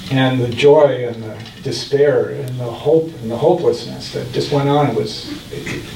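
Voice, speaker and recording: Speaking with an American accent, a man uses a fairly high voice and fairly even intonation, with noticeable background noise and audible room echo. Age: 70s. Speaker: mayor and author. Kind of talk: book talk Q&A.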